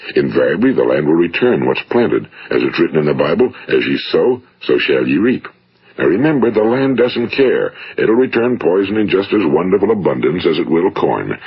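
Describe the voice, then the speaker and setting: A man talks at a fairly quick pace, his loudness very even, over noticeable background noise. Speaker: motivational speaker. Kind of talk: motivational speech recording.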